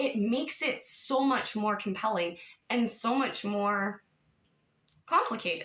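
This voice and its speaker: At a fairly slow pace with long, frequent pauses, a woman talks in an animated tone at a fairly high pitch, with ordinary pitch variation and very even loudness. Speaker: YouTube commentator. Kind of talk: casual vlog monologue.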